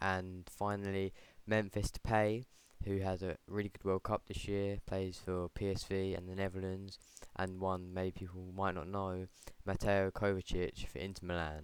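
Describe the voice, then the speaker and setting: A soft-spoken man talks at a very deep, low pitch. His pace is moderate and his intonation flat and monotone. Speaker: football vlogger. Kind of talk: casual vlog commentary. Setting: at home late at night. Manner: quiet, soft-spoken.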